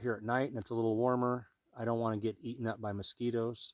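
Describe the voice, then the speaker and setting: With a normal speaking voice at a medium pitch, a man talks at a fairly quick pace on a very clean recording with a silent background and a dry, close sound with no echo. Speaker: bushcraft and survival gear youtuber. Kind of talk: gear tutorial. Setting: outdoors. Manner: casual, conversational.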